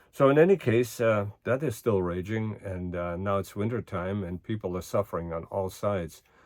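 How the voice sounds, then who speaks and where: Speaks with a German accent and ordinary pitch variation. There are hardly any pauses. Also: man, fairly low pitch for a man, moderate pace. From Germany. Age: 80s+. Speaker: current events vlogger. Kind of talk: casual monologue. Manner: hesitant with many fillers.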